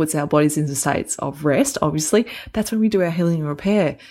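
In a very clean recording with a silent background, a woman with an Australian accent talks at a fairly quick pace with a very deep, low pitch and ordinary pitch variation. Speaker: health podcast co-host. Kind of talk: casual chat. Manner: fast.

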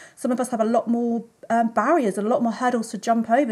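A woman speaks with a somewhat breathy voice. Her tone is dark and mellow. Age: 40s. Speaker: poet and writer. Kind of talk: casual chat. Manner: halting.

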